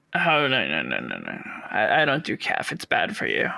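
A man puts on a raspy character voice. He delivers it at a fairly slow pace. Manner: slow, casual.

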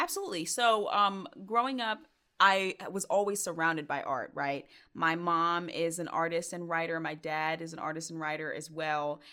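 In an American accent, a woman speaks at a moderate pace with a fairly low pitch, a bright, sharp tone and ordinary pitch variation, recorded very cleanly against a silent background. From US South, Georgia (Stone Mountain). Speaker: singer and spoken word artist. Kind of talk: interview.

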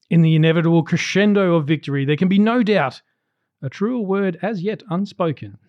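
A man with an Australian accent speaks at a fairly quick pace in a high voice, with ordinary pitch variation. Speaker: podcast co-host. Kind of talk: casual chat; scripted narration. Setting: recording at a friend's house.

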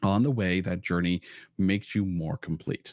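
A man with a Canadian accent speaks at a fairly low pitch and a moderate pace. The sound is dry and close with no echo. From Ontario, Canada (Ottawa). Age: 40s. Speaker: podcaster and musician. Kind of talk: casual chat.

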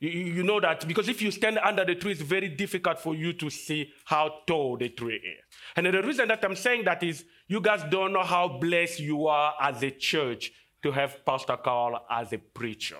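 Bright and sharp in tone, a man speaks with a high pitch and lively intonation. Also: moderate pace. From Congo (DR Congo, large capital city). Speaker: guest preacher. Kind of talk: sermon. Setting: church service.

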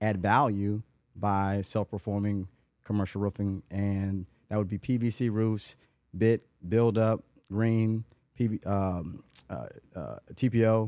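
A man with an American accent speaks at a fairly slow pace in a fairly low, dark and mellow voice, his intonation fairly even, recorded very cleanly against a silent background with a dry, close sound and no echo. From Atlanta, US South. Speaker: construction company CEO. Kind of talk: casual chat.

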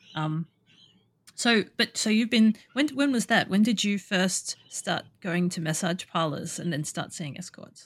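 At a fairly slow pace, a woman with an Australian accent speaks at a medium pitch with lively intonation on a very clean recording with a silent background. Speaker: podcast host and escort. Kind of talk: casual interview chat.

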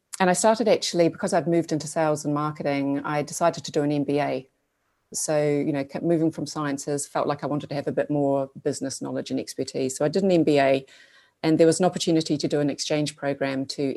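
Speaking very fast with a New Zealand accent, a woman has a very deep, low voice, a dark and mellow tone, and fairly even intonation. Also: quiet background. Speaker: digital agency co-founder. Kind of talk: interview conversation.

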